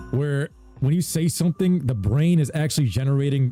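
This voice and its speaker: With music playing in the background, a man speaks at a medium pitch in an animated tone. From New York (Jamaica, Queens). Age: 30s. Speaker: gaming streamer. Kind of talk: casual live-stream chat.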